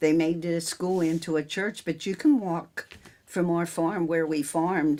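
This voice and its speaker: Amid noticeable background noise, a woman with an American accent speaks at a fairly low pitch with fairly even intonation. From central Pennsylvania, near Newville. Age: 70s. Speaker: farmer and local businesswoman. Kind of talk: oral history interview. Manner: casual, halting.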